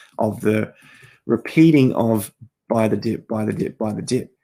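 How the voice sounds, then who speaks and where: A man's dark, mellow tone at medium pitch and a moderate pace. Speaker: crypto market commentator. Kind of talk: market analysis talk.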